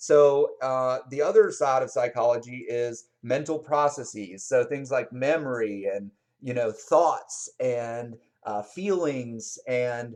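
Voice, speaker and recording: An unremarkable speaking voice, this man's is fairly high in pitch, with ordinary pitch variation and a fairly slow pace. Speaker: psychology instructor. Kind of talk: lecture. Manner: casual, with many fillers.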